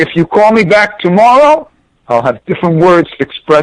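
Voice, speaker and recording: In a New York accent, the speaker moves at a moderate pace with very wide pitch swings. The sound is dry and close, with no echo. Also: man. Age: 60s. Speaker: former pro tennis player and coach. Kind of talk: interview. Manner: animated.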